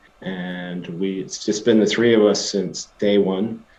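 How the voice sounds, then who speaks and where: Speaking with a slight Scottish accent, a man uses a fairly low pitch and a dark, mellow tone at a fairly slow pace. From Scotland. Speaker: tech company CEO. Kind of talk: interview. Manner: hesitant, many fillers and restarts.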